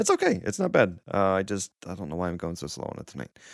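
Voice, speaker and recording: On a very clean recording with a silent background, a man talks at a very fast pace in a very deep, low voice, the sound dry and close with no echo. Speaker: podcast host. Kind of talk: casual chat.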